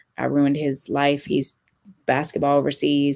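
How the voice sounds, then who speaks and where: A woman with a very deep, low pitch talks with an American accent. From California. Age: 30s. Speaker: DJ. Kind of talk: casual chat.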